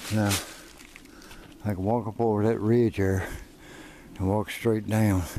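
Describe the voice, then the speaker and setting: A man's fairly low voice with an American accent, fairly even intonation and noticeable background noise. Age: 50s. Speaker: outdoor vlogger. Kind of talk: casual vlog narration while hiking. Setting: outdoors on mountain trail.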